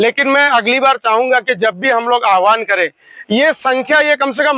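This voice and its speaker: A man speaks in a raised, projected voice at an extremely high pitch, his pitch varying in an ordinary way, and the sound is dry and close with no echo. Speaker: protest leader of investors. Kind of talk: rally speech.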